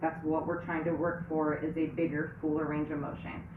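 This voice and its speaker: Audible room echo and noticeable background noise surround a woman talking at a moderate pace. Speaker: fitness instructor. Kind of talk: tutorial. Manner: casual, conversational.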